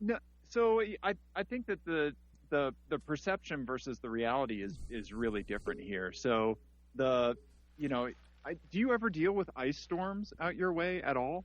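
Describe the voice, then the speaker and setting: Over a quiet background, a man with an American accent talks at a moderate pace, his pitch swinging very widely. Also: fairly high pitch for a man. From US Midwest, Missouri. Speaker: podcast host. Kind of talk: casual chat. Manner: halting.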